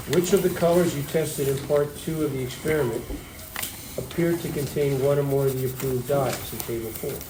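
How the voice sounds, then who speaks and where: With noticeable background noise and audible room echo, a man talks at a fairly quick pace in a fairly high pitch with fairly even intonation. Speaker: high school chemistry teacher. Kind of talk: classroom lecture. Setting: classroom. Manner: fast.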